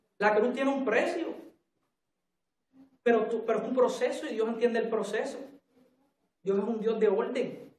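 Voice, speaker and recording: Long, frequent pauses break up this fairly evenly intoned speech, which carries audible room echo. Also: man, extremely high pitch for a man, moderate pace. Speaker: preacher. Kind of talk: sermon. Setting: church.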